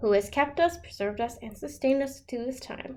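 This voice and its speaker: Putting on a growling character voice, a woman speaks at a fairly quick pace and a high pitch, her loudness swinging widely. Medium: read story.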